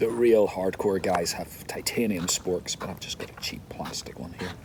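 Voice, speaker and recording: Over noticeable background noise, a man with a very deep, low pitch speaks in fairly even intonation, his loudness swinging widely. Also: moderate pace. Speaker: cyclist. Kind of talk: casual talk to camera.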